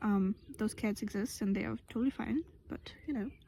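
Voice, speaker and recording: A woman speaks at a moderate pace with a medium-pitched voice. Her delivery is somewhat breathy. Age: 20s. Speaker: vlogger. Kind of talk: casual vlog monologue. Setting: outdoors in fields. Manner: hesitant, many fillers and restarts.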